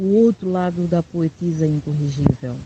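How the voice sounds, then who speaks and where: The voice has a dark, mellow tone and is somewhat breathy. The sound is dry and close, with no echo. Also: woman. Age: 40s. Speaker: poet and spoken-word performer. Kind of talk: interview. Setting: WhatsApp call.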